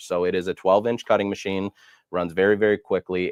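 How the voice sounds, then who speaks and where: A man speaks with a very deep, low pitch. The sound is dry and close with no echo, and the background is quiet. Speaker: product demonstrator. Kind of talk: tutorial. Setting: live stream. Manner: fast.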